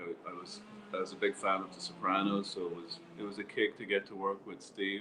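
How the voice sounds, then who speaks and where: Noticeable background noise runs under this recording. A man with a fairly low pitch speaks at a moderate pace with fairly even intonation. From Ireland. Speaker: actor. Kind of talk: interview answer. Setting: online call, audio only.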